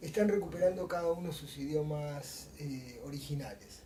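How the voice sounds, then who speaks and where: A man with a fairly high pitch speaks at a moderate pace amid noticeable background noise and audible room echo. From Argentina. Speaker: motorcycle traveler. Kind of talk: interview.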